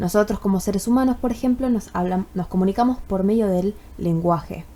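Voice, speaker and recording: At a moderate pace, a woman talks in a plain, everyday voice of medium pitch with ordinary pitch variation. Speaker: university student. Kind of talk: tutorial. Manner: casual, with many fillers.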